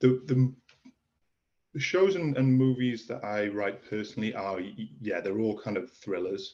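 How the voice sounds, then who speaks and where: A man speaks at a moderate pace in a Welsh accent. His tone is dark and mellow, with ordinary pitch variation. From Wales. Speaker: author and screenwriter. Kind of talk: interview. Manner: halting.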